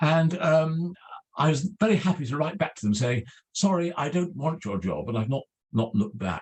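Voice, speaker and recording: A man speaks with an English accent at a moderate pace. His fairly high pitch carries lively intonation. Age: 70s. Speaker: literary scholar. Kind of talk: talk. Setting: video call.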